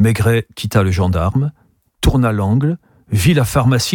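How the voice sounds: Someone reads in a natural reading voice against a quiet background.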